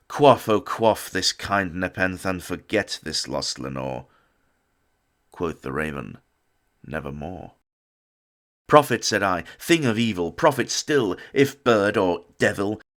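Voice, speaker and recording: Very wide pitch swings and vocal fry mark a man's fairly low voice, which moves at a very slow pace with long, frequent pauses in a very clean recording with a silent background. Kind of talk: poetry reading.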